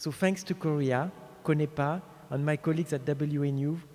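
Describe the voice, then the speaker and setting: A man with a French accent speaks at a moderate pace and a fairly high pitch. His tone is dark and mellow, and his intonation fairly even. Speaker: speaker at an award ceremony. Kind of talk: ceremonial speech.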